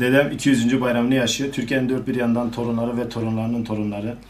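Over light background noise, a man speaks very fast in a flat monotone. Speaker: grandchild of the centenarian. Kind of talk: interview answer. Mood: calm, slightly proud. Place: home room. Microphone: handheld.

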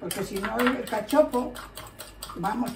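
There is noticeable background noise. Through it, a woman speaks at a fairly slow pace. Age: 90s. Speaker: home cook. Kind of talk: cooking tutorial. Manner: halting. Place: kitchen. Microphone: phone near.

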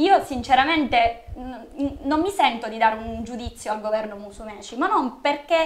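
Delivery runs at a fairly quick pace. Intonation sounds lively. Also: woman. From Sicily, Catania; Sicily. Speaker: local party organizer; guest. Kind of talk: political interview. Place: studio.

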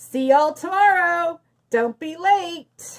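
Putting on a character voice, a woman projects loudly at an extremely high pitch and a fairly slow pace. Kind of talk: reading a picture book aloud to children. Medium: read story. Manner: eager, confident. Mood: cocky confident.

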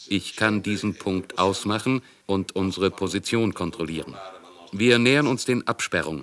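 In an ordinary speaking voice, a man with a fairly low pitch talks at a moderate pace with ordinary pitch variation, in a dry, close sound with no echo. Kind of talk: testimony, German voice-over of recollection.

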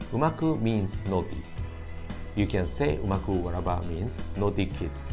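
A man's very deep, low voice with a Japanese accent at a moderate pace, with clear music in the background. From Okinawa, Japan. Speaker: language teacher. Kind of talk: language lesson to camera. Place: meeting room. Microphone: phone near.

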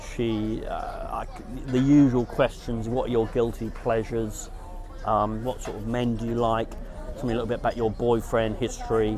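A man talks with crowd noise in the background. The sound is dry, with no echo. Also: moderate pace. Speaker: dating vlogger. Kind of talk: casual vlog chat. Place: garden. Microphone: lapel.

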